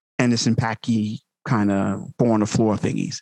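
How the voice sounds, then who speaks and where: A man with an American accent in a plain, everyday voice, medium in pitch with fairly even intonation, over a quiet background. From Long Island, New York. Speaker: music producer. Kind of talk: casual interview.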